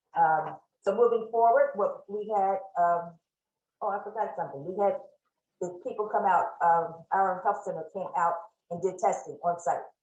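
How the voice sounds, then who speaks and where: This is a woman speaking. Room echo is audible around her voice. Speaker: shelter manager presenting. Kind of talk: presentation at online town hall. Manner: fast.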